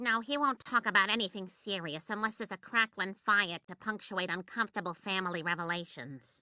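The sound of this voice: Cartoonish character voice from a woman, medium pitch, fairly quick pace with hardly any pauses, dry, close sound with no echo, very clean recording, silent background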